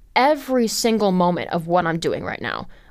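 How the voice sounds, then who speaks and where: The pitch swings very widely. Delivery comes at a moderate pace. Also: woman. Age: 20s. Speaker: podcast host. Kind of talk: solo commentary monologue. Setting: studio. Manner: rambling, filler-heavy.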